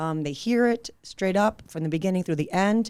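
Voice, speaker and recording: Lively intonation comes with an Israeli accent on a very clean recording with a silent background. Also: woman. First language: Hebrew. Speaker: real estate agent. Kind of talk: podcast interview.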